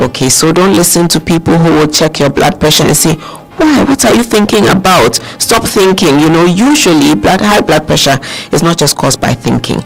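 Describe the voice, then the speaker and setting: Keeping a very even loudness, a man with a high voice speaks fairly quickly and with lively intonation amid noticeable background noise. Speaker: doctor, guest expert on a radio health show. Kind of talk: radio health talk explaining medical advice.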